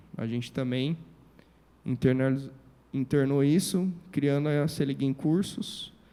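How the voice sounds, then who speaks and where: A man with a plain, everyday voice speaks at a fairly high pitch and a moderate pace, with ordinary pitch variation. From Brazil, Presidente Prudente, São Paulo state. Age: 30s. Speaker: civil engineer and entrepreneur. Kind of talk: motivational talk.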